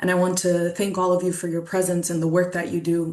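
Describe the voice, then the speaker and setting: A woman talks at a fairly quick pace with a fairly low pitch. Audible room echo surrounds her voice. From Colombia (Bogotá region, Muisca). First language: Muisca. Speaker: lived-experience advocate speaker. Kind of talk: webinar talk. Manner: earnest, reflective.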